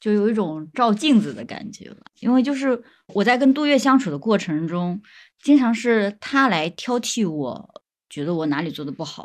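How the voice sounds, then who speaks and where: A woman with a medium pitch talks at a moderate pace, her pitch swinging very widely and her loudness rising and falling a lot, over a quiet background. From Zhejiang, Huangyan near Taizhou. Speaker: young person living in the countryside. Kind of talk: casual chat.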